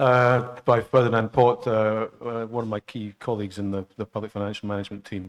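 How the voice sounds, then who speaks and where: Delivered with a Scottish accent, the speech moves at a fairly quick pace in a flat monotone. The sound is dry and close, with no echo. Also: man, medium pitch for a man. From Scotland. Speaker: international public finance expert. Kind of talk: training lecture. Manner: halting, many fillers.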